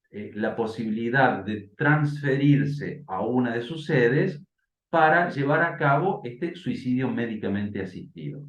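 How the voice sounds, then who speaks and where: A man speaks fairly slowly and somewhat breathily. Audible echo fills the room. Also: medium pitch for a man, lively intonation. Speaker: bioethicist. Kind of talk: interview and debate. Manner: hesitant, many fillers.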